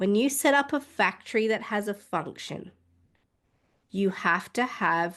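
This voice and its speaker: Against a quiet background, a woman speaks at a fairly slow pace with an Australian accent. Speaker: midwife. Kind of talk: interview.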